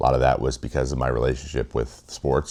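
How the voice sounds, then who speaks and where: Vocal fry runs through a man's speech at a fairly quick pace. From US Pacific Northwest, Washington state. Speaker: former pro baseball pitcher, video essayist. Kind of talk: video essay monologue. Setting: home office studio.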